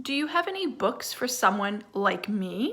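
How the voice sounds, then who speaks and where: This is a put-on character voice, raised and projected. It moves at a moderate pace. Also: woman. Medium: read story.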